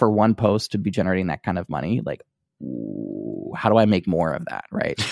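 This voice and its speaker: The speech moves at a fairly quick pace, with a dry, close sound and no echo. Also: man. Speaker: podcast host. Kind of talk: casual chat. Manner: quiet.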